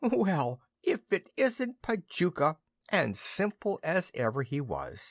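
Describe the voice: In a put-on character voice, a man sounds wheezy at a high pitch. His pace is fairly slow.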